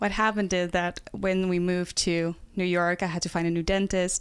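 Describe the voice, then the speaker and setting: With a Dutch accent, a woman talks at a moderate pace and medium pitch on a very clean recording with a silent background. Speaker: nutrition health coach. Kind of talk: casual podcast interview.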